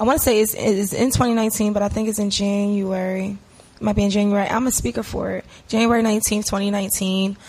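The woman's voice is somewhat breathy. She speaks at a fairly quick pace. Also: medium pitch for a woman. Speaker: interview guest, social media and web business owner. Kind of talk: casual podcast interview.

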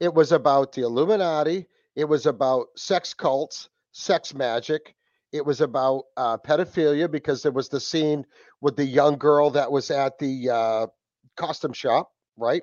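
With a New England accent, a man talks at a moderate pace in a fairly high pitch with ordinary variation. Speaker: podcast host. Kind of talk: casual chat. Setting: video call.

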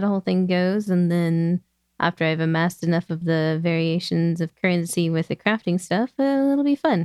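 Speaking at a moderate pace, a woman has a plain, everyday voice. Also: dry, close sound with no echo. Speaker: podcast guest, game expert. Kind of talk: casual chat.

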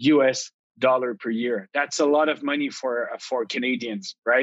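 Speaking with a Quebec accent, a man keeps a moderate pace and ordinary pitch variation. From Quebec, Ottawa region (Outaouais). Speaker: tech company CEO. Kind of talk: interview.

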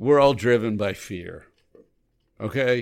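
This is a man speaking at medium pitch. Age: 60s. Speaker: recovery ministry co-host. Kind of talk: casual chat.

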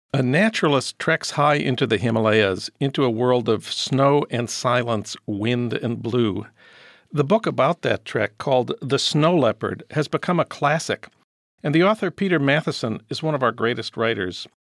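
An ordinary speaking voice from a man at medium pitch, with lively intonation, a moderate pace and dry, close sound with no echo. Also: very clean recording, silent background. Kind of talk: podcast interview and intro.

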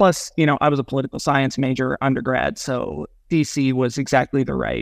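A man's normal speaking voice with an American accent, at a moderate pace and fairly even intonation, in a dry, close sound with no echo. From US Midwest, rural Nebraska. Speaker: lawyer. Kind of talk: podcast interview.

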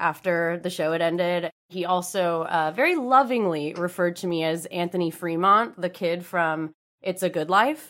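Recorded very cleanly against a silent background, a woman with a normal speaking voice talks at a fairly low pitch with ordinary pitch variation. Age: 20s. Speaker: social media specialist and podcast co-host. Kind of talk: casual chat.

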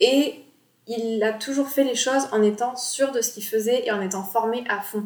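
A woman with a high pitch talks in a fairly even intonation. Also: moderate pace. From Bordeaux, France. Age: 20s. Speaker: graphic designer and podcast host. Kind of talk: casual solo podcast talk. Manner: relaxed, informal.

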